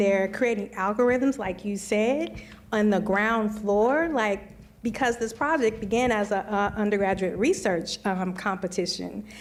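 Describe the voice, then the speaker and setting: With an American accent, a woman speaks at a fairly slow pace, her fairly high pitch showing ordinary variation. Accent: occasional Missouri twang. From Missouri. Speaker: computer science educator and researcher. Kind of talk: panel discussion. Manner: conversational with many fillers.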